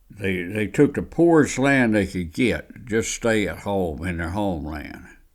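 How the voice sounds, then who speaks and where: Lively intonation marks this man's Alabama accent, his pitch fairly low. The recording is very clean, with a silent background. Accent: Southern US (Alabama). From US South, Alabama near Birmingham. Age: 80s+. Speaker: oral history storyteller. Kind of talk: oral history interview. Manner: casual, halting.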